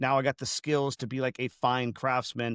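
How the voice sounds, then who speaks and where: An ordinary speaking voice from a man, medium in pitch and fairly quick in pace, in a very clean recording with a silent background. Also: dry, close sound with no echo. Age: 30s. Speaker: furniture refinisher and business owner. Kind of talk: interview.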